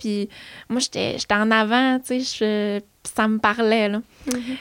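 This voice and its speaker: Recorded very cleanly against a silent background, a woman speaks in a Quebec accent with fairly even intonation and a dry, close sound with no echo. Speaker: beauty entrepreneur. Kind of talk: casual chat.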